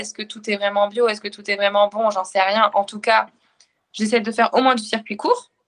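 In a monotone, flat intonation, a woman talks at a fairly high pitch. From northern France. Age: 20s. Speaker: firefighter officer and amateur triathlete. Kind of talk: casual interview.

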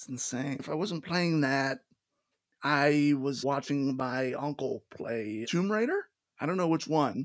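At a fairly slow pace, a man with an ordinary speaking voice talks at a fairly high pitch with ordinary pitch variation. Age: 20s. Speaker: podcast host. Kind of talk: casual chat.

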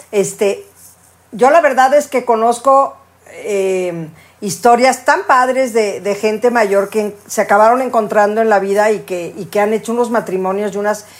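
At a fairly slow pace, a woman talks with a fairly high pitch, an ordinary speaking voice and ordinary pitch variation. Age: 60s. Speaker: podcast co-host. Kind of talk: casual chat.

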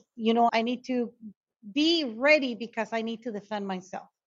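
Fairly slow speech from a woman, high-pitched, with ordinary pitch variation. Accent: Spanish. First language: Spanish. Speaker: conflict resolution consultant and educator. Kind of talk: interview conversation. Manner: halting, repeats words.

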